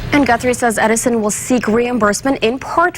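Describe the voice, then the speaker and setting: The speaking pace is moderate. There is noticeable noise in the background. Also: woman. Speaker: TV news anchor. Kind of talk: TV news anchor read.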